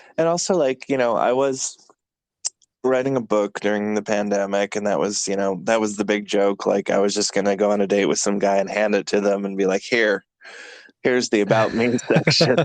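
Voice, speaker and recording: Fairly quick, fairly low-pitched male speech with ordinary pitch variation and very even loudness, the sound dry and close with no echo. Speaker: podcast host. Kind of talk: casual chat.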